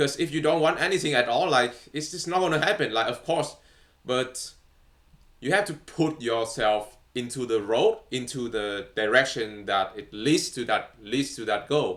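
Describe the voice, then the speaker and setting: Against a silent background in a very clean recording, a man with a non-native accent and medium pitch speaks at a moderate pace with lively intonation. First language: not English. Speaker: vlogger. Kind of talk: casual monologue. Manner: halting, many fillers.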